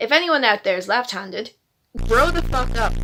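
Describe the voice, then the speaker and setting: This woman has a bright, sharp tone and speaks at a moderate pace. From Ireland, Dublin. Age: 20s. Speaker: vlogger. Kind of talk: casual chat. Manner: casual, conversational.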